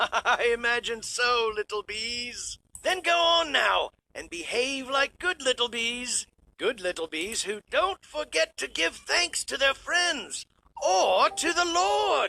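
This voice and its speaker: A man puts on a cartoonish character voice, pitched extremely high and delivered at a fairly slow pace. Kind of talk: Bible storytelling.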